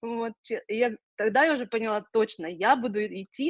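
In a dry, close sound with no echo, a woman speaks at a fairly slow pace. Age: 40s. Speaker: cancer survivor and psychology course graduate. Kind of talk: testimony. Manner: halting.

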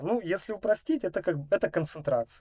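A man speaks at a moderate pace in a dark, mellow tone. The sound is dry and close, with no echo. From Russia, Novosibirsk (Akademgorodok). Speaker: electronic music producer. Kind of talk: casual chat.

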